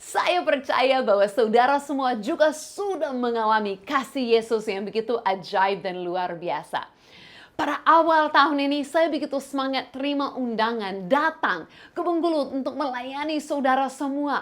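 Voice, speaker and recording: Here a woman speaks with an English accent and a high pitch. Her intonation is lively, and her pace is moderate. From Canada, rural village. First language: English (speaking Indonesian). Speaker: pastor, missionary. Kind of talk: sermon. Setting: online from home. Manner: hesitant, with fillers and restarts.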